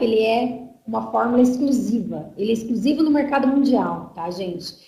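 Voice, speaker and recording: A woman's fairly high voice, with ordinary pitch variation, carries audible room echo. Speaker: marketing staff presenting products. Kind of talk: online sales presentation. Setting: online webinar.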